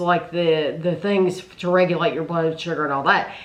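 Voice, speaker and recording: Noticeable background noise accompanies the recording. A woman talks at a moderate pace. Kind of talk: casual Q&A talk to camera.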